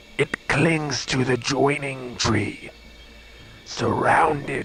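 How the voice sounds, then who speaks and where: A man uses a put-on character voice at medium pitch. He talks very slowly over clear background noise. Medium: machinima. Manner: solemn, formal.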